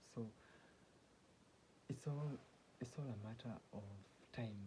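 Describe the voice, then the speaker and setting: A man's somewhat breathy, medium-pitched voice with a dark, mellow tone. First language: not English (English is third language). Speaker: self-help vlogger. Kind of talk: casual monologue. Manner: halting, many restarts.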